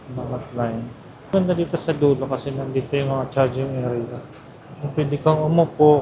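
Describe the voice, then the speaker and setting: Soft-spoken delivery with ordinary pitch variation comes through over noticeable background noise. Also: man. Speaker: travel vlogger. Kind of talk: casual vlog narration. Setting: airport terminal.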